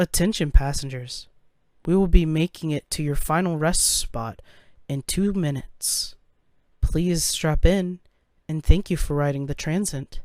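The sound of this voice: Putting on a robotic character voice, a man speaks at a high pitch. His pace is moderate.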